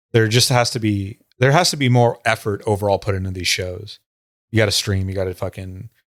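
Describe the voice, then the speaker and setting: A man with an unremarkable speaking voice talks fairly quickly at a fairly low pitch with ordinary pitch variation. The recording is very clean, with a silent background. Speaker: former muay thai gym co-founder, fight page admin. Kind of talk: casual podcast chat.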